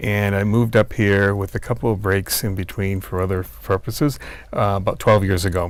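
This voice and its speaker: In a slight Boston accent, a man speaks at a fairly low pitch with fairly even intonation. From US Northeast, Boston. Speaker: retired city planner, cyclist. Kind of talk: interview. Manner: hesitant, many fillers.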